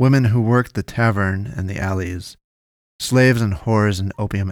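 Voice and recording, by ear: Against a quiet background, the text is read aloud in a natural voice with ordinary pitch variation.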